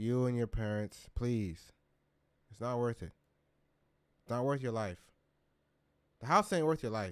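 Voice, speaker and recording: With long, frequent pauses, a man talks in an animated tone at a medium pitch with ordinary pitch variation, on a very clean recording with a silent background. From California. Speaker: live streamer reacting to news. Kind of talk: live stream reaction commentary.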